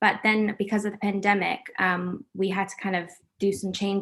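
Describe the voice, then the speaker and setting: With an American accent, a normal speaking voice comes through at a moderate pace on a very clean recording with a silent background. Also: woman. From US, raised mostly in America. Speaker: actress. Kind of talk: interview.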